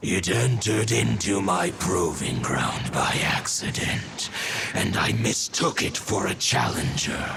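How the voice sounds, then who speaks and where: A man's cartoonish character voice at a very deep, low pitch and fairly slow pace, under loud background noise. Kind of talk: archaic formal speech. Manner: archaic, solemn, measured.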